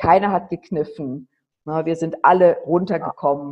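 Speaking at a moderate pace, the woman has a very deep, low pitch. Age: 50s. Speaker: charity founder running children's homes in Nepal. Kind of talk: interview.

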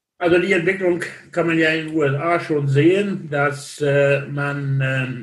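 At a very slow pace, a man talks in a fairly high pitch, somewhat breathy, with fairly even intonation. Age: 60s. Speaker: logistics industry association chairman. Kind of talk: interview. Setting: remote call.

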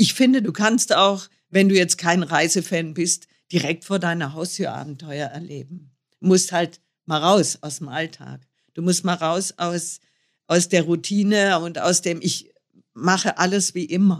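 A woman with an unremarkable speaking voice talks at a fairly slow pace and fairly low pitch, with ordinary pitch variation, on a very clean recording with a silent background. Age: 60s. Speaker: motorcycle traveller. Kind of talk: interview.

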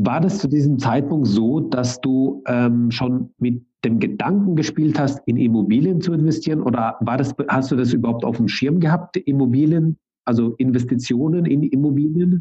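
With hardly any pauses, a man talks at a moderate pace in a somewhat breathy, fairly high-pitched voice with very even loudness and ordinary pitch variation. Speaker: podcast host. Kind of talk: casual interview.

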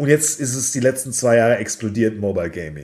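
A man talks with vocal fry. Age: 40s. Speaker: esports company founder and CEO. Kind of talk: interview.

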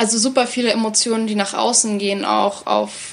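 A woman's monotone, flat intonation over noticeable background noise. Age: 20s. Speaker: theatre educator. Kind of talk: interview conversation.

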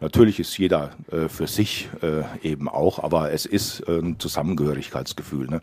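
A man talks at a moderate pace in a very deep, low voice with ordinary pitch variation. There is noticeable background noise. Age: 60s. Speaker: local politician, parliamentary candidate. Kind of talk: radio interview.

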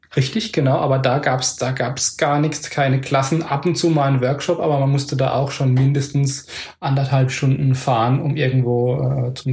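A man's medium-pitched, somewhat breathy voice, monotone and flat, at a moderate pace with hardly any pauses. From Palatinate, Germany. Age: 40s. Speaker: acro yoga teacher. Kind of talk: casual chat. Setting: home.

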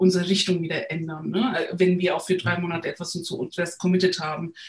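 A woman speaks in a somewhat breathy voice. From Turkey, Istanbul. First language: Turkish (speaking German). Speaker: agile coach. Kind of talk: interview. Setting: remote recording. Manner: hesitant, many fillers.

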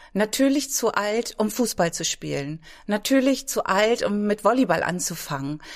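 At a fairly slow pace, a woman with a medium pitch talks using lively intonation. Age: 50s. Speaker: fitness trainer. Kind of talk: casual interview. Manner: hesitant, many fillers.

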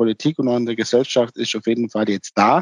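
Monotone, flat intonation from a man at a medium pitch. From Swabia, near Ulm (southern Germany). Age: 50s. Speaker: timber construction company owner. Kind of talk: interview. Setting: remote connection.

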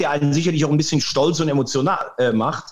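A man with an animated tone at a fairly quick pace. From Rhineland-Palatinate, near Andernach. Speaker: sports presenter. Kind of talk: interview.

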